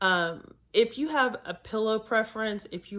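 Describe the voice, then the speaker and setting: The woman speaks at a fairly slow pace. The recording is very clean, with a silent background. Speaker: travel vlogger. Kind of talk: casual tips video.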